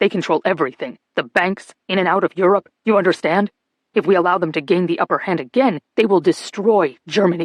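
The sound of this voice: An unforced reading voice with fairly even intonation comes through against a quiet background.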